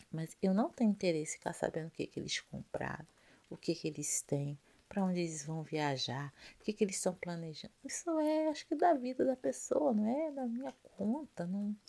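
Speaking at a moderate pace, a woman with a medium pitch shows very wide pitch swings. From Rio de Janeiro, Brazil. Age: 40s. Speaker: ASMR youtuber and hairdresser. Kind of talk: ASMR casual talk. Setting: at home. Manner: soft-spoken.

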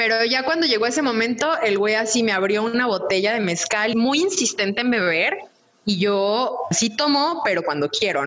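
With a Mexican accent, the speaker keeps a moderate pace and very even loudness while the pitch swings very widely. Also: woman. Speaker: podcast co-host. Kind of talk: casual chat.

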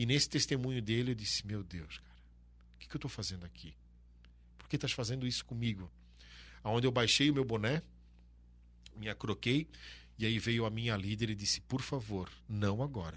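Recorded very cleanly against a silent background, a man talks at a moderate pace with medium pitch and ordinary pitch variation. Vocal fry shows up, and he takes long, frequent pauses. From Santa Catarina, Brazil (Brusque). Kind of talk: casual interview. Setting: studio.

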